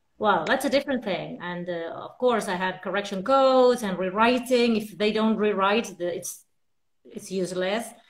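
A woman with a Spanish accent at a moderate pace, ordinary pitch variation and big swings in loudness, over a quiet background. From Argentina. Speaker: English teacher and researcher; English teacher. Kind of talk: casual interview chat. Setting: live video call. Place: home room.

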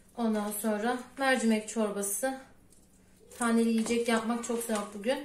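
Amid light background noise and audible room echo, a woman with a fairly high pitch speaks at a fairly slow pace, her intonation monotone and flat and her loudness very even. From Turkey. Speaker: cooking vlogger. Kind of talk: cooking tutorial. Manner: casual, chatty. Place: kitchen. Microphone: phone near.

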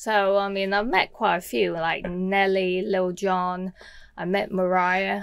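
A woman speaks at a very slow pace in a monotone, flat intonation, her loudness very even against a quiet background. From Macau. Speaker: motorcycle racing team owner; podcast guest. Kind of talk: casual interview chat; interview answer. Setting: trackside at a race meeting. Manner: hesitant, many fillers. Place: studio. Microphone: studio mic.

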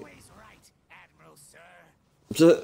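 A man puts on a raspy character voice.

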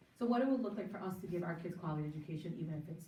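Fairly low in pitch, this woman's voice has a dark, mellow tone and is somewhat breathy. Room echo can be heard. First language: not English. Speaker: city council candidate. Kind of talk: political candidate forum.

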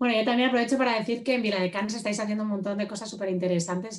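The woman's intonation stays fairly even, and the background is quiet. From Madrid, Spain; Spain. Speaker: urban planner and architect; presenter. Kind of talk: lecture; webinar presentation. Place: home room. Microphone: video call.

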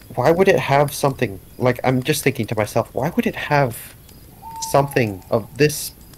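Over light background noise, a man talks in a normal speaking voice at a fairly high pitch. His pace is moderate and his intonation lively. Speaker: tabletop game player. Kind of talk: casual chat. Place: home room.

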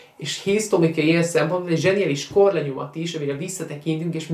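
A man with a fairly high pitch talks at a very fast pace and with fairly even intonation, with audible room echo around him. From Hungary. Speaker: YouTuber and sneaker event organizer; sneaker youtuber. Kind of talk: vlog-style monologue. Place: home room.

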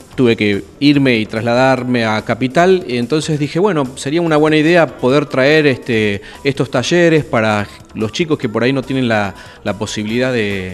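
With faint music in the background, a man of medium pitch speaks at a moderate pace with lively intonation. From Argentina, Buenos Aires area; Argentina. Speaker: radio announcer and workshop teacher; radio announcer running a workshop. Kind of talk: interview. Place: hall. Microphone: handheld.

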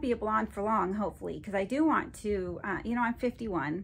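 A woman speaks at a moderate pace. Her intonation is lively. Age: 50s. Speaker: unboxing youtuber. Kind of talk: casual unboxing vlog. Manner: casual with frequent fillers and hesitations. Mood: relaxed, chatty. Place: home room. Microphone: phone near.

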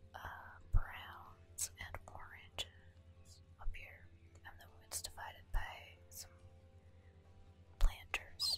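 Long, frequent pauses break up a very slow whisper heard over noticeable background noise. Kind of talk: ASMR game house tour. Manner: whispered.

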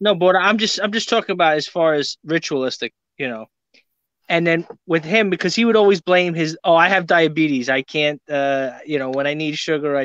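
Talking at a fairly quick pace in a New York accent, a man with a high pitch and ordinary pitch variation is heard in a dry sound with no echo against a quiet background. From New York, Brooklyn. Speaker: reseller. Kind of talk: casual chat. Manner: halting. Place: home room. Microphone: webcam.

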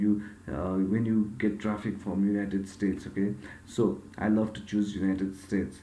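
With audible room echo around him, a man speaks at a moderate pace in a fairly low pitch. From Nepal. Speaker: YouTuber. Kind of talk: software tutorial. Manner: hesitant, many fillers.

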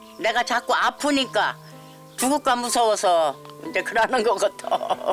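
Over faint music in the background, the speaker talks at a fairly slow pace with very wide pitch swings. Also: woman, fairly high pitch for a woman. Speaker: elderly farmer. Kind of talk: casual chat. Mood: warm, wry, chatty. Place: farm.

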